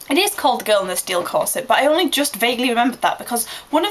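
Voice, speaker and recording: In an English accent, a woman speaks very fast at a high pitch with lively intonation, amid noticeable background noise. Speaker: vlogger. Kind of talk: casual vlog monologue. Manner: animated.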